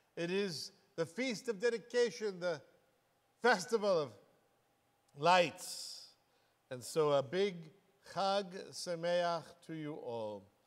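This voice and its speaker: A man at a very slow pace with long, frequent pauses, against a quiet background. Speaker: congregation pastor. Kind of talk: sermon welcome address. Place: church. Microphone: lapel.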